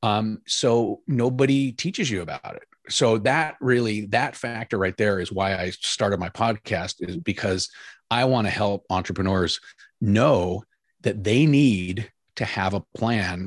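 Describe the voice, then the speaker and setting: A normal speaking voice at a fairly slow pace, ordinary pitch variation, the sound dry and close with no echo, the recording very clean with a silent background. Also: man. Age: 50s. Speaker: entrepreneur and retirement coach. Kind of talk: casual interview.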